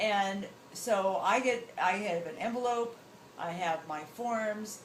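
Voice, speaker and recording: A woman speaks with an American accent and ordinary pitch variation. Audible room echo and noticeable background noise surround her voice. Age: 60s. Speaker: travel show host. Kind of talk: interview answer, casual advice.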